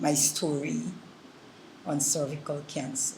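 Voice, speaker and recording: Very slow speech with noticeable background noise. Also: woman. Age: 60s. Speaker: cancer survivor. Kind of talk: testimony.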